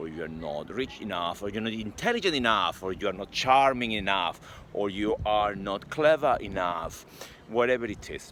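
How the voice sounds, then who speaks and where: Fairly low male pitch, ordinary pitch variation and a moderate pace from a man. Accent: Spanish. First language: not English. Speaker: sales and mindset coach. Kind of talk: motivational talk to camera.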